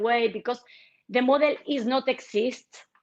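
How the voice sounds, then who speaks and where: A woman speaks in a Spanish accent at a fairly slow pace. The background is quiet. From Argentina. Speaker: politician. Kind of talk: interview. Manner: halting, with many repetitions.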